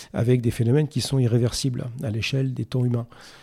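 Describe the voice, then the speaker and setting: Somewhat breathy and dark, mellow in tone, a man speaks at a moderate pace and medium pitch in a very clean recording with a silent background. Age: 50s. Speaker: sustainability executive in construction. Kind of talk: interview. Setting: studio.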